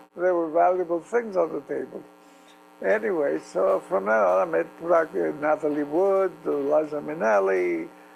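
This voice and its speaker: Noticeable background noise sits behind a man with a Greek accent speaking at a moderate pace. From Istanbul, Turkey (Greek community). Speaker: entertainment journalist. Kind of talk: interview.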